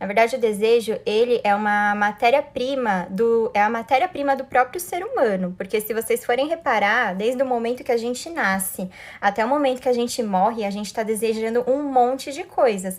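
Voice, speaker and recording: A woman talks with hardly any pauses. Her fairly high voice shows ordinary pitch variation. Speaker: life coach. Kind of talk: live stream talk. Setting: live stream. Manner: fast.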